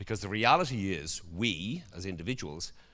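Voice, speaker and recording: The speaker uses a Dublin accent and an animated tone. Audible room echo is present. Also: man. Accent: Irish (Dublin). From Ireland, Dublin. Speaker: conference speaker. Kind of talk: conference presentation.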